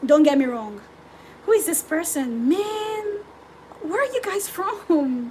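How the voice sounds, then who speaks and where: A woman speaks with lively intonation. Noticeable background noise sits behind her. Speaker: forex trader streaming live. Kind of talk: live trading stream, reading chat. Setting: livestream. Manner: loud; animated.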